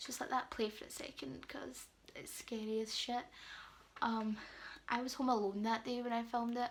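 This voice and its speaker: With a British accent, a woman talks at a moderate pace in a fairly high pitch, her intonation monotone and flat, broken by long, frequent pauses. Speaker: beauty and lifestyle vlogger. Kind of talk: storytime vlog. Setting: at home, late night. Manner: quiet, subdued; casual, filler-heavy.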